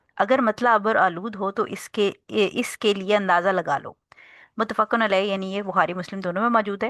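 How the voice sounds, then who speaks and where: A soft-spoken woman talks at a fairly slow pace. The sound is dry and close, with no echo and a quiet background. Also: medium pitch for a woman, fairly even intonation. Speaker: Islamic teacher. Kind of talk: lecture.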